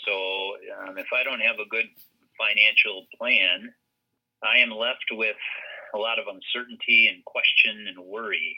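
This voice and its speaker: A man with an Upper Midwest accent at a fairly slow pace, with long, frequent pauses. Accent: Upper Midwest American. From Minnesota (Brainerd). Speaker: financial advisor. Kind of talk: interview.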